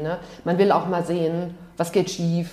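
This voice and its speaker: Noticeable background noise sits behind the speech. A woman talks at a fairly low pitch. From Palatinate, Germany (Ludwigshafen). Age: 40s. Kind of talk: casual interview.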